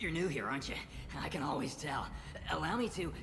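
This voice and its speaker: In a put-on character voice at a middle pitch, the speaker races along at a very fast pace over loud background noise. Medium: video game. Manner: smarmy.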